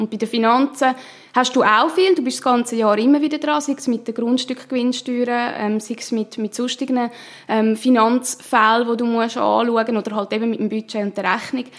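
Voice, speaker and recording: Noticeable background noise lies under intonation that stays fairly even. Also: woman. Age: 20s. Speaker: politician and union president. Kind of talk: interview.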